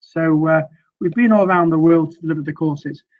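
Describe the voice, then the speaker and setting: The voice belongs to a man with a Mancunian accent. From northern England, Manchester. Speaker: sales trainer. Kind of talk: webinar presentation. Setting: online webinar. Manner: hesitant, many fillers.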